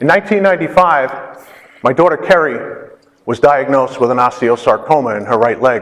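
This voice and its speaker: A man with a fairly high pitch, a fairly quick pace, lively intonation, and an ordinary speaking voice. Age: 60s. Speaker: patient speaker. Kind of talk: conference talk.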